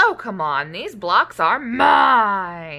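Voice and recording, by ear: A woman uses a put-on character voice at a medium pitch, bright and sharp with vocal fry, swinging widely in pitch at a very slow pace.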